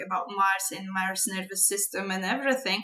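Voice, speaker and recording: A woman is speaking. She has a Polish accent. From Poland. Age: 30s. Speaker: astrology and tarot vlogger. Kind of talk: casual monologue. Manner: halting.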